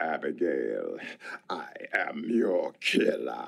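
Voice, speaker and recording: At a very slow pace, a man performs in a put-on character voice. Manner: menacing.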